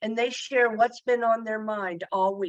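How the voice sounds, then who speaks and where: A woman's fairly high-pitched voice, a plain, everyday voice. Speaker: therapist. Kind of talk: panel discussion.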